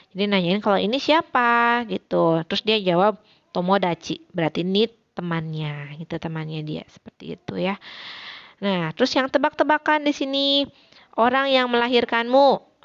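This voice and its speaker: A woman with a West Javanese accent, medium pitch and very wide pitch swings. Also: moderate pace. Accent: Sundanese accent in her Japanese. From West Java (Sundanese). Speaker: Japanese language teacher. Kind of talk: recorded online lesson. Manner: casual, conversational.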